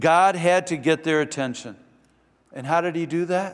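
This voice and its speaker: A man talks with a Midwestern American accent. The recording is very clean, with a silent background. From US Midwest, Michigan. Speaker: pastor. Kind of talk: sermon. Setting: church.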